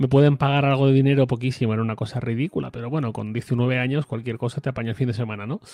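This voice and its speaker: Very fast and with hardly any pauses, a man delivers his words in a dark, mellow tone at a medium pitch with fairly even intonation. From Spain, Torrent near Valencia. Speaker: tech journalist and podcaster. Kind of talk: interview.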